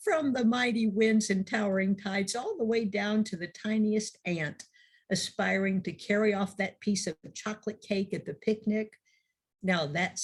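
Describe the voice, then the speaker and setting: A woman speaks at a moderate pace. Her pitch is medium and her voice is somewhat breathy. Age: 70s. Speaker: minister. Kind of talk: sermon.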